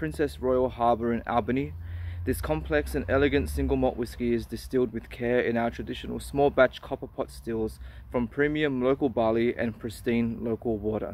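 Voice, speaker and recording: The speaker is a man at a moderate pace. The recording is dry, with no echo. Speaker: whisky reviewer. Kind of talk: casual review vlog. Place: open country. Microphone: phone near.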